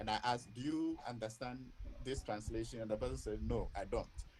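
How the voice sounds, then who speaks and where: A man speaks with a Ghanaian accent. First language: Ewe. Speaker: academic speaker. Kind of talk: webinar Q&A. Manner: hesitant, repeats words.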